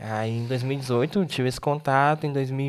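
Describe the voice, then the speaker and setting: The intonation is fairly even throughout. An unremarkable speaking voice goes along at a fairly quick pace. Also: man. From Tocantins, Brazil. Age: 20s. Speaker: missionary. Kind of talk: interview testimony.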